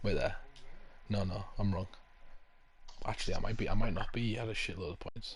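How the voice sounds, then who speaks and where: A man is speaking. Audible echo fills the room. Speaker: gaming streamer. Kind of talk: casual chat. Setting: live stream.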